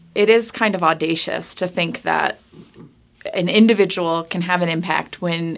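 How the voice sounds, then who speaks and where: In a very clean recording with a silent background, a woman with a General American accent and an ordinary speaking voice talks at a moderate pace, with medium pitch and ordinary pitch variation. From Colorado. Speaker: nonprofit marketing director. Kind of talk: podcast interview. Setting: studio, in person.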